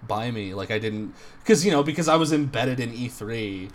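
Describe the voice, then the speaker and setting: At a moderate pace, a man with an unremarkable speaking voice and medium pitch speaks with lively intonation. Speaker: podcast co-host. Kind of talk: casual banter.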